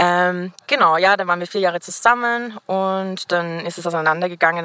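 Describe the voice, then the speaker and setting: At a fairly quick pace, a woman speaks with a fairly low pitch, ordinary pitch variation and a bright, sharp tone. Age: 20s. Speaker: podcast interviewee. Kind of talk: casual chat. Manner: fast.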